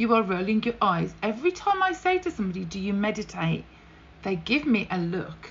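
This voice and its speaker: A woman with a British accent talks at a fairly quick pace over noticeable background noise. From UK. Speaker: podcast host and breast cancer survivor. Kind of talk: solo podcast monologue. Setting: home office with fan noise. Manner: animated, upbeat, chatty.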